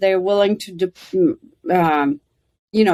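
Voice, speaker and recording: Her voice sits at a medium pitch, and this woman uses ordinary pitch variation. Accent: Russian. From Soviet Union (Russia). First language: Russian. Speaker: former intelligence officer. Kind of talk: podcast interview. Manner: many fillers and hesitations.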